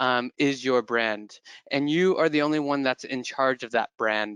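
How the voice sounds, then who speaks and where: A man with an American accent speaks at a medium pitch with ordinary pitch variation, heard dry with no echo against a quiet background. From California. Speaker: employer brand manager; presenter. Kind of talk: webinar presentation. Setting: online webinar. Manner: hesitant, many fillers. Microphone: headset.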